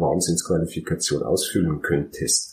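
A man with a Bavarian accent at a moderate pace. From Bavaria, Germany. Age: 30s. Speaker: dental clinic manager and software entrepreneur. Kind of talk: interview.

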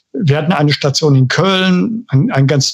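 Fairly slow in pace, a man with a fairly high pitch speaks with lively intonation. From Ruhr area, Germany (Bochum). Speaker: housing association director. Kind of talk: interview. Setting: studio. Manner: halting, repeats words.

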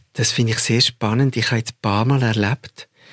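A man speaks at a medium pitch with fairly even intonation and a somewhat breathy quality. The sound is dry and close, with no echo. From Zurich, Switzerland. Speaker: film director. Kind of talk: interview conversation.

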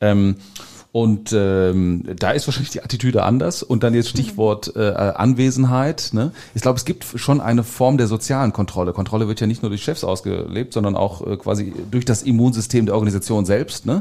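At a moderate pace, a man speaks with a dark, mellow tone, a medium pitch, and ordinary pitch variation. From Ruhr area, Germany (Gelsenkirchen). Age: 40s. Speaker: corporate-startup innovation consultant. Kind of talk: podcast interview.

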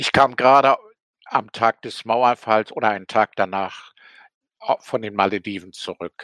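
On a very clean recording with a silent background and a dry, close sound with no echo, a man with a medium pitch and a bright, sharp tone speaks at a fairly slow pace with big swings in loudness. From East Germany, Rostock. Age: 80s+. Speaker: author and former GDR escapee. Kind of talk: interview testimony. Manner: hesitant with frequent fillers.

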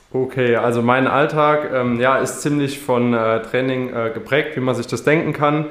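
A man's medium-pitched voice at a moderate pace, hardly any pauses, in audible room echo. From Saarland, Germany. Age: 20s. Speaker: triathlete and student. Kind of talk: interview. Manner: hesitant, many fillers.

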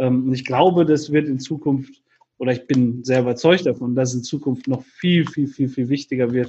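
Fairly even intonation at a moderate pace. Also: man. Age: 40s. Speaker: entrepreneur and business mentor. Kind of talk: podcast interview. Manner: hesitant with frequent fillers.

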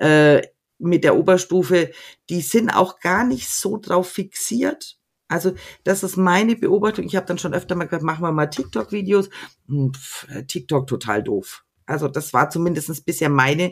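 Lively intonation and a moderate pace mark this voice, in a Franconian accent, broken by long, frequent pauses. The recording is very clean, with a silent background. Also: woman, fairly low pitch for a woman. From Middle Franconia, Erlangen. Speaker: secondary school teacher. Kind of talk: casual interview.

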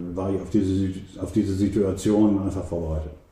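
The man's voice sits fairly low and has a dark, mellow tone. It comes across somewhat breathy, with audible room echo. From East Frisia, Emden (Transvaal district). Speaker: magazine editor and photographer. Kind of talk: interview. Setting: private home. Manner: hesitant with many fillers.

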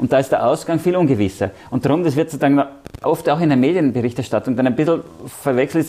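A man's fairly high voice at a very fast pace, with very even loudness. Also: ordinary pitch variation. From Austria, Vienna. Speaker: EU civil servant. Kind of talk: interview.

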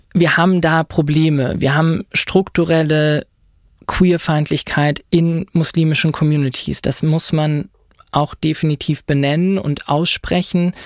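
Fairly slow and at a fairly high pitch, a man talks in a monotone, flat intonation. His loudness stays very even, and the sound is dry and close with no echo. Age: 20s. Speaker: lawyer and doctoral student. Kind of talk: interview.

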